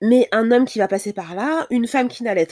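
The sound is dry and close, free of echo. A woman talks with ordinary pitch variation. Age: 30s. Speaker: Instagram creator on breastfeeding. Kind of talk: casual chat. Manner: halting.

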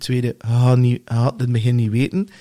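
Very clean recording, silent background, and a man speaking at medium pitch. His tone is dark and mellow, somewhat breathy. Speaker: podcast host. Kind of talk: casual chat.

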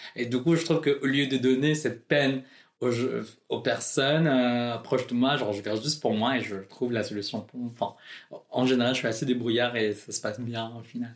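A man with a medium-pitched voice talks at a fairly quick pace, his intonation fairly even. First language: not French (speaking French). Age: 20s. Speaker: drag queen. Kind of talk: interview.

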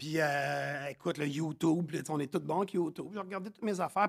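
With a Quebec accent and an animated tone, a man talks with ordinary pitch variation in a dry, close sound with no echo. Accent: Québécois French. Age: 40s. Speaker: chef and business owner. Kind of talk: casual chat.

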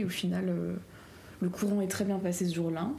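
A woman talks at a fairly quick pace with a fairly low pitch and fairly even intonation. Room echo is audible, and there is noticeable background noise. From Alsace-Lorraine, France. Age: young. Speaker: law and history student. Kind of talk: interview.

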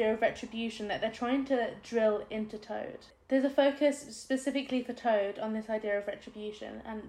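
The voice is reading aloud in a natural voice.

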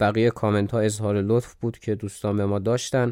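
A man talks very fast in a very clean recording with a silent background. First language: not Persian; Persian is second language (speaking Persian). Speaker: history podcaster. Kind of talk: casual chat about listener comments; scripted narration.

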